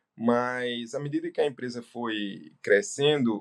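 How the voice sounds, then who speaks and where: Speaking at a medium pitch, a man's voice shows ordinary pitch variation. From Brazil, Northeast. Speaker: business owner and doctor. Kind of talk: interview. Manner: hesitant fillers.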